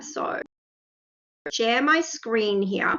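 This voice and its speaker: A woman with an Australian accent at a very slow pace, her intonation lively. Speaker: math faculty. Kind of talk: software demonstration. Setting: video call.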